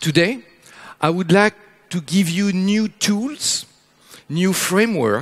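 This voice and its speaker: With a French accent, a man speaks at a high pitch in a dry, close sound with no echo. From France. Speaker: futurist speaker. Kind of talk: keynote talk. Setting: stage with audience.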